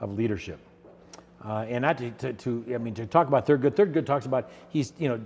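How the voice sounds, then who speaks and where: His pitch varies in an ordinary way. The man speaks at a fairly quick pace. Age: 60s. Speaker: mayor. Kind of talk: interview. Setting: recording in a borrowed creative space. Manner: hesitant, many fillers and repetitions.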